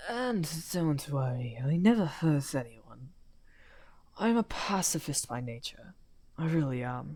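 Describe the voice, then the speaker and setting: A put-on character voice at a low-to-middle pitch unfolds at a fairly slow pace with long, frequent pauses. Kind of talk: audio roleplay. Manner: soft-spoken.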